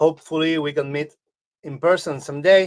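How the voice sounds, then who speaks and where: A man talks with an Argentine accent. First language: Spanish. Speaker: guitar effects pedal builder. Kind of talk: casual interview chat. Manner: halting.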